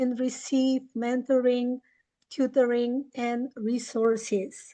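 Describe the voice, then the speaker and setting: Against a quiet background, a woman with a Bulgarian accent speaks very slowly. Her pitch is high and her intonation fairly even. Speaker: English teacher and webinar presenter. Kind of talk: webinar presentation.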